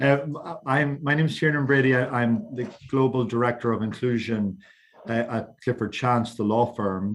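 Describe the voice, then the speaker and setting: With an Irish accent, this man talks at a moderate pace, his medium pitch showing ordinary variation. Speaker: LGBTQ equality campaigner. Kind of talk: panel discussion. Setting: online roundtable. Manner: stammering repetitions.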